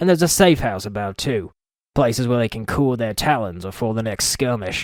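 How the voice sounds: In a natural reading voice, lively intonation comes through over a quiet background.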